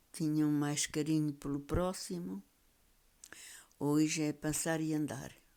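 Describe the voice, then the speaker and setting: With a European Portuguese accent, a woman speaks in a dark, mellow tone at a very deep, low pitch. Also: long, frequent pauses, big swings in loudness. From Portugal, Beira Alta (Trancoso). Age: 90s. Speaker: elderly storyteller. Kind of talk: reminiscing interview.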